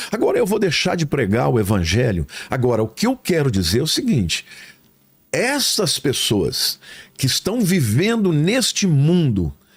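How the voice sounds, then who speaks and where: The speaker uses vocal fry and very wide pitch swings at a fairly slow pace. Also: man, fairly high pitch for a man, very even loudness. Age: 60s. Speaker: pastor. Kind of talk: casual chat.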